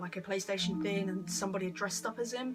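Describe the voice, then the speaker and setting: Amid noticeable background noise, a woman with a medium pitch talks at a very fast pace with fairly even intonation. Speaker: YouTuber. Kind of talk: casual Q&A vlog. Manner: stuttering, hesitant; awkward, halting.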